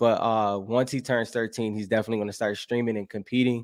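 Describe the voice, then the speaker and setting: In a very clean recording with a silent background and a dry, close sound with no echo, a man with an American accent talks at a fairly quick pace, his medium pitch held in monotone, flat intonation. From Buffalo, New York, US. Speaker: gaming podcast host. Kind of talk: live stream chat reading comments. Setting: solo live stream. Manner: casual, with many fillers and restarts.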